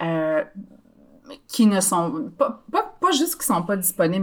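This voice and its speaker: With a Quebec accent, a woman speaks at a medium pitch and a fairly slow pace. The recording is very clean, with a silent background. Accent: Québécois French. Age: 30s. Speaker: podcast guest. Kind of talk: casual chat.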